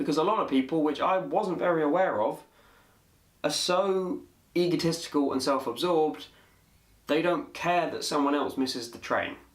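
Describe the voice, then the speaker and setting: Speaking with a British accent, a man has a high pitch and ordinary pitch variation. His pace is moderate, broken by long, frequent pauses. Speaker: vlogger. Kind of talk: casual talk to camera.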